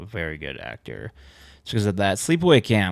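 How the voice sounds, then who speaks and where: Vocal fry runs through a man's voice in a very clean recording with a silent background. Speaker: gaming YouTuber. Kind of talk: casual commentary. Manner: conversational, with fillers.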